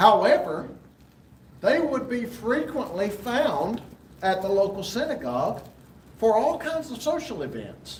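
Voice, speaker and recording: With a Southern US accent, a man speaks at a moderate pace using very wide pitch swings. Noticeable background noise and audible room echo surround him. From US South, rural Alabama. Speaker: Bible class teacher. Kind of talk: lecture. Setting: church fellowship hall. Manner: halting, frequent fillers.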